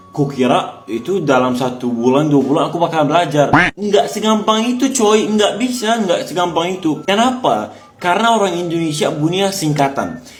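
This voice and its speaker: A man with a high voice speaks at a moderate pace in an animated tone, with very wide pitch swings, hardly any pauses, audible room echo and music in the background. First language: Arabic (speaking Indonesian). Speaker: foreign resident speaking about learning Indonesian. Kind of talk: casual vlog monologue.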